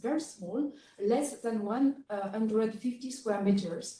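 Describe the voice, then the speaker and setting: With a French accent, a woman speaks at a fairly slow pace in a dark, mellow tone with ordinary pitch variation. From France. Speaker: researcher, geographer. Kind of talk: conference presentation. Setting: conference session with audience.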